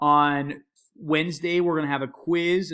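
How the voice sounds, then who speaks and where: A man speaks on this recording. It is very clean, with a totally silent background. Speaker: history teacher. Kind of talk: recorded lecture. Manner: fast.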